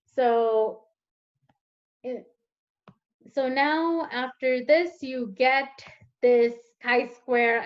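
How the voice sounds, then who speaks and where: A woman's high-pitched voice with ordinary pitch variation, over a quiet background. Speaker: teaching assistant; teacher or tutor. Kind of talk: tutorial. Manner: hesitant, many fillers. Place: home room. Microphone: webcam.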